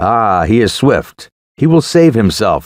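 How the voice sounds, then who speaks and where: A man does a put-on character voice, growling at a medium pitch. He speaks at a fairly slow pace with very wide pitch swings. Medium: read story. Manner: terse, grave.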